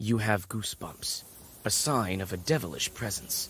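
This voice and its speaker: Someone performs a put-on character voice, keeping a moderate pace. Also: man, fairly low pitch for a man. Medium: video game.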